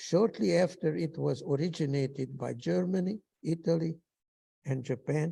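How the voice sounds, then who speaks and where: With a Hungarian accent, a man speaks at a moderate pace in a fairly high pitch, his tone dark and mellow and his pitch variation ordinary. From Hungary. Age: 90s. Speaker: Holocaust survivor. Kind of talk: testimony. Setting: synagogue ceremony.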